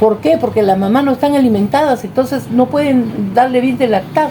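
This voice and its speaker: Her pitch high and her intonation lively, a woman speaks at a moderate pace over noticeable background noise. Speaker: interviewee. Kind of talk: interview. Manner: animated.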